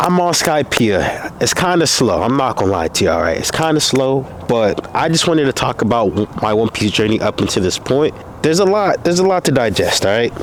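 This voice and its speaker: A man talks at a fairly quick pace, his pitch swinging very widely while his loudness stays very even. Noticeable background noise runs underneath. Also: medium pitch for a man. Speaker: content creator vlogging about anime. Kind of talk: casual vlog monologue. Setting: outdoors. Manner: animated.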